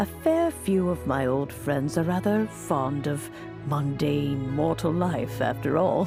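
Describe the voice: A woman puts on a character voice, low-pitched and slow, with lively intonation and vocal fry. Clear music plays in the background.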